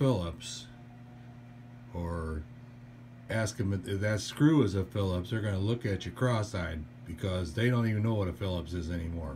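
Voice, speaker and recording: A man with a fairly low pitch and a dark, mellow, somewhat breathy tone speaks with lively intonation and long, frequent pauses. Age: 60s. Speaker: DIY furniture assembly hobbyist. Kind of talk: tutorial. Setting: indoors at daughter's house. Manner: casual, hesitant with fillers.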